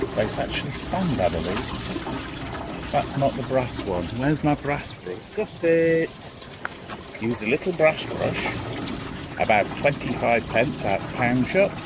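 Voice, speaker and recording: A man speaks fairly slowly at a medium pitch, with very wide pitch swings. Noticeable background noise runs underneath. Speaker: DIY hobbyist vlogger. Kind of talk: casual tutorial. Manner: chatty, offhand.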